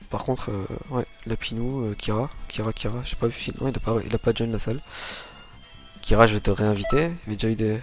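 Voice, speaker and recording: Music plays in the background as a man talks at a very fast pace with long, frequent pauses, his medium-pitched voice holding a fairly even intonation. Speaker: tournament caster. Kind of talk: live gaming commentary. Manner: casual.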